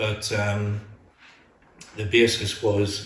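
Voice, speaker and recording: Against noticeable background noise and audible room echo, a man with a fairly low pitch speaks in a Northern Irish accent. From Northern Ireland, Lurgan, County Armagh. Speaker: retired teacher. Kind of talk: interview.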